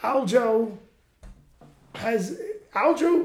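There is audible room echo and noticeable background noise. Over it, a man talks with lively intonation. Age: 40s. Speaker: podcast host, fighter. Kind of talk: casual chat. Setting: studio.

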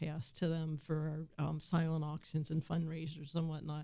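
A woman speaks with an American accent. Her pitch is very deep and low, and her tone is dark and mellow. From Shenandoah Valley, West Virginia. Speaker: agricultural extension agent. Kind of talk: radio interview. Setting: radio studio.

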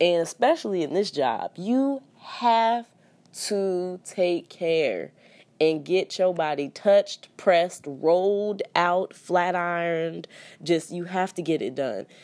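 A woman talks at a very slow pace with lively intonation. The recording is very clean, with a silent background. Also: fairly low pitch for a woman. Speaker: flight attendant podcast host. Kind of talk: casual solo monologue. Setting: hotel room. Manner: rambling, relaxed.

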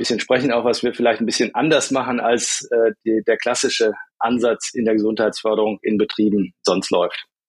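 A man speaks fairly quickly at a medium pitch in a monotone, flat delivery, recorded dry and close with no echo. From Rhineland, Germany. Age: 50s. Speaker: startup founder. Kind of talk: interview. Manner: hesitant, many fillers.

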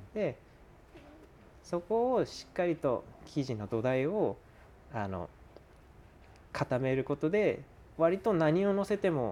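Calm in tone, a man speaks very slowly with long, frequent pauses. His voice is dark and mellow, fairly high in pitch, and swings very widely in pitch. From Japan, Fukushima. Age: 20s. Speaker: pizza maker. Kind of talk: casual chat.

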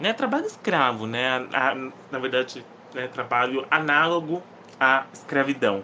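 The delivery has an animated tone. It moves at a fairly slow pace. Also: man. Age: 20s. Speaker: podcast host, book reviewer. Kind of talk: casual solo podcast, book review.

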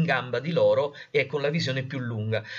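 This is a man speaking. His pitch is fairly high. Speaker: journalist and science communicator. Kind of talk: interview conversation. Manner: halting, many fillers.

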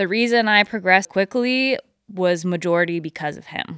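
With an American accent and a bright, sharp tone, a woman speaks at a moderate pace with ordinary pitch variation on a very clean recording with a silent background. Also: dry, close sound with no echo. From Northern California. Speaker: river paddleboarder and photographer. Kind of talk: interview. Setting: her house.

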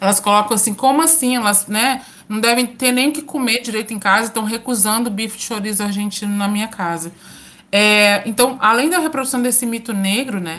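A woman talks at a fairly quick pace in a fairly high pitch. Her tone is bright and sharp, with ordinary pitch variation. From Minas Gerais, Brazil (interior, São João del Rei). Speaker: university professor and researcher. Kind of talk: interview.

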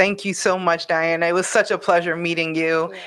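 Her pitch is fairly low, her intonation fairly even, and she has a normal speaking voice. The woman talks at a fairly quick pace over a quiet background. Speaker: podcast host. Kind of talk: casual interview.

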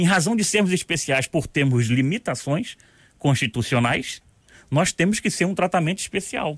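On a very clean recording with a silent background, a man with fairly high pitch and vocal fry speaks at a moderate pace with lively intonation, the sound dry and close with no echo. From Rio de Janeiro, Brazil. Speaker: retired military police colonel. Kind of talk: radio interview. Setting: radio studio.

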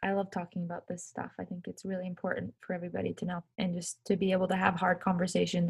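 Speaking at a very fast pace, a woman with a fairly low pitch sounds somewhat breathy and uses monotone, flat intonation. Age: 20s. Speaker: professional ice hockey player. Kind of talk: casual interview. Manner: halting, many fillers.

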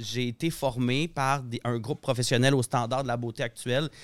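The speaker's flat, monotone delivery sits in a dry, close sound with no echo. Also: man, very clean recording, silent background. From Saguenay, Quebec. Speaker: hairdresser and colorist. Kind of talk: casual chat.

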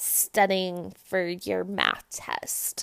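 The speaker has an animated, bright and sharp tone, captured in a very clean recording with a silent background. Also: woman. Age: 20s. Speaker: podcast host, college student. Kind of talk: casual monologue.

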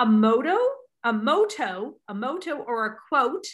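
A woman's raised, projected voice comes through with a bright, sharp tone. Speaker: podcast host. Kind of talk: interview chat. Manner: animated.

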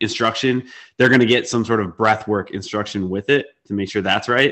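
His voice is fairly low in pitch. The man keeps a monotone, flat intonation. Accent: American. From Wisconsin, US Midwest. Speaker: podcast host, nutrition coach. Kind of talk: casual interview chat.

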